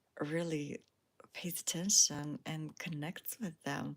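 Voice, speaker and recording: Against a silent background in a very clean recording, a woman speaks with a non-native accent. Her tone is relaxed, her pitch fairly low and her pace fairly slow. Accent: foreign. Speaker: spiritual lifestyle YouTuber. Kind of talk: casual livestream monologue. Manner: relaxed, with frequent fillers.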